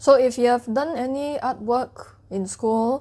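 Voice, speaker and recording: A woman with a Cantonese accent speaks in a dark, mellow tone. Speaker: education youtuber. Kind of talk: tutorial. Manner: casual.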